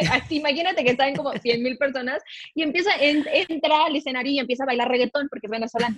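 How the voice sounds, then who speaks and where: Talking at a very fast pace, a woman uses a high pitch with ordinary pitch variation. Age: 20s. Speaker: financial advisor. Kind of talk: podcast interview.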